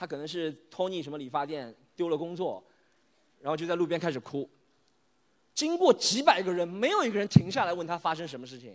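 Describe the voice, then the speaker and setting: Fairly quick speech with ordinary pitch variation, big swings in loudness and long, frequent pauses, on a very clean recording with a silent background. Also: man, high pitch for a man. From Shanghai, Yangpu district. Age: 30s. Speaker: stand-up comedian. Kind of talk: stand-up. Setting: stage with audience.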